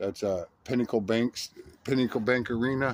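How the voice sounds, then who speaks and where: At a moderate pace, a man talks with a Midwestern US accent. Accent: US Midwest. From Nebraska. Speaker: political candidate. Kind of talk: video diary. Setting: outdoors at night. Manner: halting, many repetitions.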